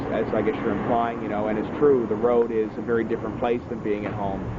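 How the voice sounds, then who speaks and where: A man with an East Coast Canadian accent is heard with audible room echo and noticeable background noise. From Atlantic Canada (Newfoundland). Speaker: singer-songwriter. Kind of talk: interview. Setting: outdoors. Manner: hesitant, many fillers.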